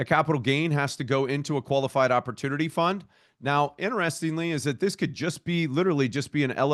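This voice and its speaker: An unremarkable speaking voice at a fairly quick pace, dry and close with no echo, over a quiet background. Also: man. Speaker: opportunity zone tax expert presenting to a community call. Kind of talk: webinar presentation.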